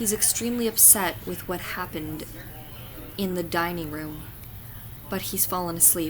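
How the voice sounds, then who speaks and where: Over noticeable background noise, a woman talks in a fairly low pitch. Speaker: fanfiction reader. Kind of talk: fanfiction reading.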